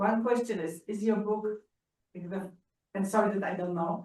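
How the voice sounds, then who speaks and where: A woman at a medium pitch with a Polish accent. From Poland. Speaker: audience member. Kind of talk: audience question. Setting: library auditorium. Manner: halting.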